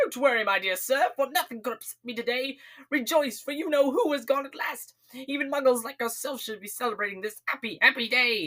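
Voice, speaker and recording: A squeaky, fairly high-pitched put-on character voice at a fairly quick pace, with hardly any pauses. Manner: gleeful, joyful.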